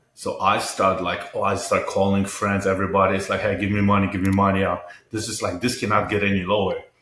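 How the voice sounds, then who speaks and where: A man with a Polish accent speaks at a very fast pace in a fairly low, monotone, flat voice, with audible room echo. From Poland. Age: 50s. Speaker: entrepreneur and mental health advocate. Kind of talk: interview conversation. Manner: halting, repetitive.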